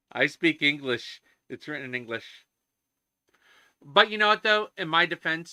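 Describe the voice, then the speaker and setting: A man is speaking. His pace is moderate. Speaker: game mod programmer streaming live. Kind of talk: casual live stream chat while coding. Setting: live stream, at computer with headset. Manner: halting, many fillers and repeats.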